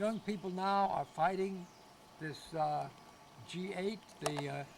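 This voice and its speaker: Against noticeable background noise, a man with an American accent speaks at a high pitch and a very slow pace with fairly even intonation. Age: 70s. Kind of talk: interview. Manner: halting.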